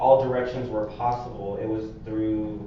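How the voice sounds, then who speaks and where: A man with an American accent speaks in a monotone, flat way at a very slow pace, with audible room echo and noticeable background noise. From Phoenix, Arizona. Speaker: community organizer. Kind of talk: personal testimony. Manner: halting, many fillers.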